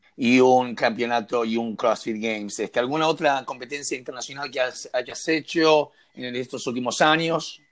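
Here a man uses a plain, everyday voice at medium pitch, moving at a moderate pace with ordinary pitch variation and hardly any pauses. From Argentina. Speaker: podcast co-host. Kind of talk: interview.

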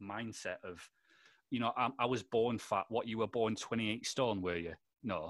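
The man speaks with a Lancashire accent at a fairly slow pace and medium pitch. His pitch varies in an ordinary way, on a very clean recording with a silent background. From Lancashire, northern England. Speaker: podcast host. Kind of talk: casual chat. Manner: animated.

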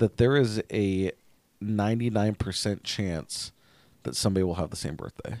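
A man's fairly low, normal speaking voice with an American accent, ordinary pitch variation and a moderate pace, dry and close with no echo. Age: 30s. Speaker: podcast co-host. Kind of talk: casual chat.

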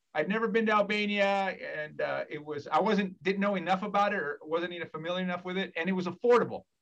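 Someone with an American accent speaks at a fairly quick pace in a bright, sharp tone with lively intonation. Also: man. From California. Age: 50s. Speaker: academic. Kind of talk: casual chat.

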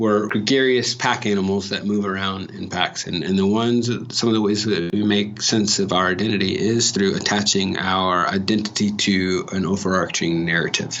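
A man at a moderate pace with fairly even intonation, amid noticeable background noise and audible room echo. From Los Angeles (Watts). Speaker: educator. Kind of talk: interview.

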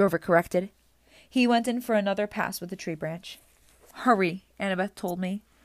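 Reading aloud in a natural voice, the speaker varies pitch in an ordinary way.

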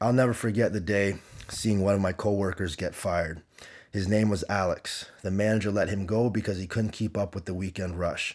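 A man with a Canadian accent speaks at a fairly quick pace in a fairly low pitch, with an unremarkable speaking voice. His intonation is fairly even, and the recording is very clean with a silent background. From Canada (Windsor, Ontario). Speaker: gym owner and fitness coach. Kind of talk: storytelling monologue.

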